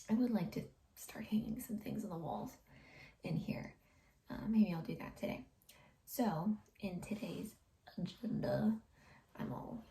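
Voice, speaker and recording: A woman's medium-pitched voice with a dark, mellow tone and vocal fry, a fairly slow pace, ordinary pitch variation, and long, frequent pauses. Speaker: home renovation vlogger. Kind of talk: casual vlog. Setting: home office. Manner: soft-spoken.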